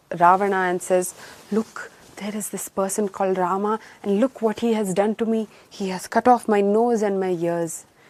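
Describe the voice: It is plain reading aloud with fairly even intonation.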